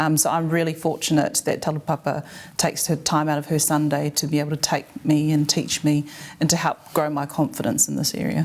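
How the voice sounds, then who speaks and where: With a New Zealand accent, a woman speaks at a fairly quick pace in a very deep, low pitch and a flat, monotone delivery. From New Zealand, Samoan family. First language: Samoan. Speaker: member of parliament. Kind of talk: casual chat.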